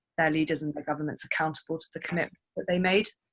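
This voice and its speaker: This woman's voice is very deep and low, delivered in a monotone, flat intonation. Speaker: TB policy advocate. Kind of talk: conference call briefing. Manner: fast; halting, many fillers.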